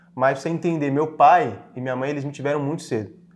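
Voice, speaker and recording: A man talks at a very fast pace. He has a fairly high pitch with ordinary pitch variation. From Brazil, Franco da Rocha, São Paulo state. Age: 20s. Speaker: digital marketing entrepreneur. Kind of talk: podcast interview.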